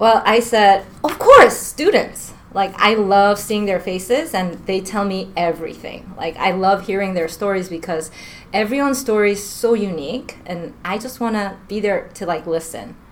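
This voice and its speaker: Over noticeable background noise, a woman talks at a medium pitch in an American accent. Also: ordinary pitch variation, moderate pace. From New York. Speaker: school counselor. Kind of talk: casual interview. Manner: laughing often.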